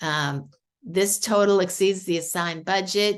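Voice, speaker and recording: A woman speaks with a Boston accent. Her pace is moderate. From New England, Boston. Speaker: AI tool demonstrator. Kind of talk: screen-share tutorial. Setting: video call. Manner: animated.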